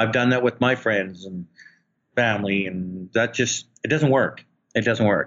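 At a medium pitch and fairly slow pace, a man with an unremarkable speaking voice uses ordinary pitch variation. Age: 50s. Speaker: real estate investor. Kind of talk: interview. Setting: phone call.

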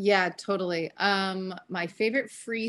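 A woman speaks with fairly even intonation. It is an ordinary speaking voice. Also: quiet background. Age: 30s. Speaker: wellness company founder. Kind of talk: casual interview.

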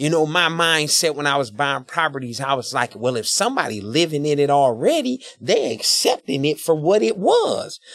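Lively intonation at a moderate pace with hardly any pauses, over noticeable background noise. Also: man, fairly high pitch for a man. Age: 40s. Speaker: business owner and barber. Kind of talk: casual interview.

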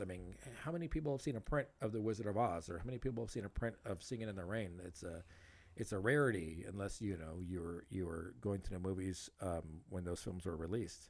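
A man with an American accent and a normal speaking voice talks at a moderate pace and fairly low pitch, with ordinary pitch variation. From Los Angeles area, California. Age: 40s. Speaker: podcast host. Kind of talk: casual chat.

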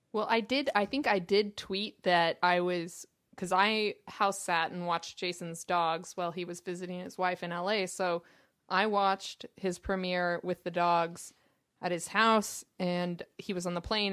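With a plain, everyday voice, a woman speaks at medium pitch and a fairly slow pace, her intonation fairly even, on a very clean recording with a silent background. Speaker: guest. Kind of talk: casual chat.

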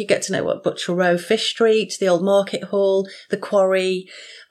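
With a normal speaking voice, a woman of medium pitch talks at a moderate pace using fairly even intonation. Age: 50s. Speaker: author and mental health nurse. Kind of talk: podcast interview.

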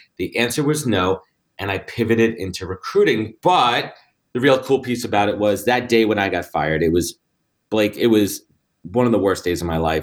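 With a New York accent, a man speaks at a moderate pace, his fairly low voice carrying lively intonation. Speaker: recruiting firm founder. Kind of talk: interview conversation.

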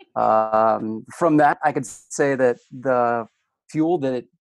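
At medium pitch, a man is heard against a quiet background with a dry, close sound and no echo. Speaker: podcast guest, hydrologist and show host. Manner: enthusiastic, casual.

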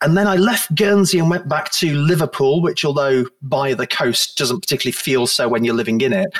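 Over noticeable background noise, a man with a high pitch speaks at a fairly quick pace, his intonation lively and his loudness very even. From northern England (Blackpool, Lancashire). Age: 40s. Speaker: journalist. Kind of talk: casual chat.

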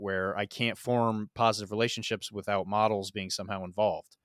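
Recorded very cleanly against a silent background, a man speaks with a bright, sharp tone. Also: dry, close sound with no echo. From US Midwest (rural Missouri). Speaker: podcast host, wargaming guest. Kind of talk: casual chat.

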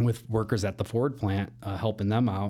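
A man's dark, mellow voice with a Chicago accent, fairly low in pitch, fairly quick, with fairly even intonation. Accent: Chicago-area American. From northern Illinois, Elgin. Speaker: mortgage loan officer. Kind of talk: casual interview chat.

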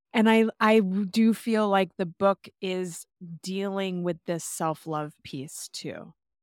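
A woman speaks very slowly at a medium pitch with fairly even intonation. The very clean recording has a silent background and a dry, close sound with no echo. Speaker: podcast host. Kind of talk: casual chat.

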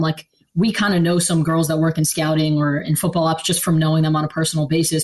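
A woman with an American accent talks very fast in a somewhat breathy, monotone voice with flat intonation. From Philadelphia area, Pennsylvania. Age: 20s. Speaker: football scouting staffer. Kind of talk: interview. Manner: hesitant, many fillers.

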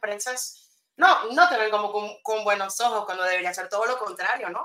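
This is a woman's voice. Her pitch is fairly high. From Venezuela. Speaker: copywriter, former journalist. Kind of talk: interview. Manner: halting.

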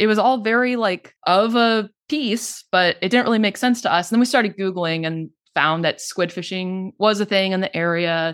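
A plain, everyday voice at a moderate pace with ordinary pitch variation, on a very clean recording over a silent background. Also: woman, medium pitch for a woman. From Texas, Denton County (North Texas). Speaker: podcaster and paranormal history researcher. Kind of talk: interview, casual chat.

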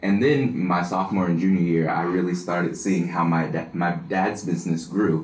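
A man's very deep, low voice with fairly even intonation at a moderate pace, hardly any pauses, and audible room echo. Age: 20s. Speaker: business student and singer. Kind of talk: interview.

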